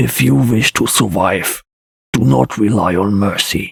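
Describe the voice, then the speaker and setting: A man puts on a character voice, raspy and fairly low in pitch. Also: fairly slow pace. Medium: read story. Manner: cold, menacing.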